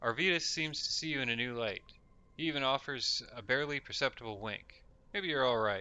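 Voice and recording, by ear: The pitch shifts in an ordinary way as the text is read aloud in a natural voice.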